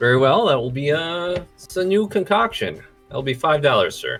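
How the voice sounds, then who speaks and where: A robotic, put-on character voice at a middle pitch speaks at a moderate pace, with faint music in the background. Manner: judgmental.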